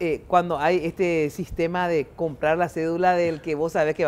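A woman speaks at a moderate pace with fairly low pitch, a monotone, flat intonation and hardly any pauses. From Paraguay. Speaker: TV talk show host. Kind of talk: political panel discussion. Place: studio. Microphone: lapel.

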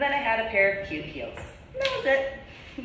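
A woman amid light background noise and audible room echo. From New Jersey, US. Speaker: video blogger and ordained reverend. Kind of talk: monologue vlog. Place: home room. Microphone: camera far.

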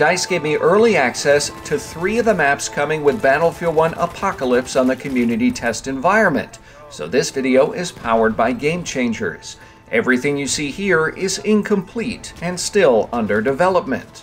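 With music in the background, a man speaks at a moderate pace and a fairly high pitch, his pitch swinging very widely. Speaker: gaming video creator. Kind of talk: game weapons overview narration. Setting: mobile recording setup.

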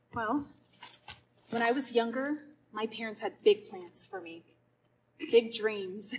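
Loudness swings widely throughout. Light background noise sits underneath. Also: woman, ordinary pitch variation, fairly slow pace. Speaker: stage actor. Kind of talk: scripted dialogue in a play scene. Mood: gentle, reassuring, reflective. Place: stage. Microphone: camera far.

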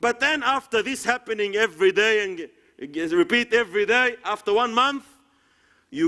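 A man's high-pitched, raised and projected voice with a bright, sharp tone, an Arabic accent, lively intonation and a moderate pace over a quiet background. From Egypt. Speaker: Islamic preacher. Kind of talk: sermon. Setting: lecture hall with audience. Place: hall.

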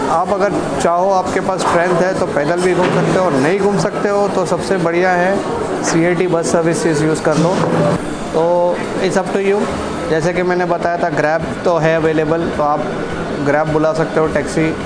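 Loud background noise fills the clip. Through it, a man speaks fairly slowly. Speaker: travel vlogger. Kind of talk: casual vlog chat. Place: cafe. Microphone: lapel.

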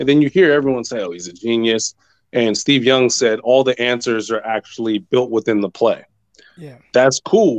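Here is a man with an ordinary speaking voice, medium in pitch, at a moderate pace with ordinary pitch variation. His loudness swings widely, and the sound is dry and close with no echo. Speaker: caller, sports fan. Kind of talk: casual chat.

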